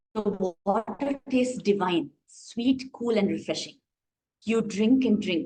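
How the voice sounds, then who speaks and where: A soft-spoken woman talks at a moderate pace and fairly high pitch with lively intonation. Her voice is somewhat breathy with a dark, mellow tone. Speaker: dance workshop facilitator. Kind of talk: online workshop instruction; guided visualization story. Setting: video call. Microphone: too quiet, unstable internet.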